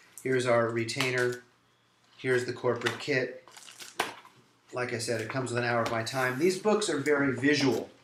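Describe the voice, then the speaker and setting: Noticeable background noise runs under this clip. A man talks at a fairly quick pace and medium pitch. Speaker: lawyer. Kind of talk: promotional talk to camera. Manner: fast.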